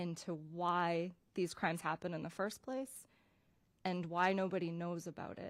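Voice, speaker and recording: A woman speaks at a fairly slow pace in a fairly low voice. The recording is very clean, with a silent background. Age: 40s. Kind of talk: testimony.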